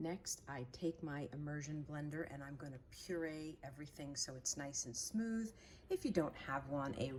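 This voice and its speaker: The speech moves at a moderate pace with big swings in loudness. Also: woman. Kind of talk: cooking tutorial talk to camera. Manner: casual, friendly.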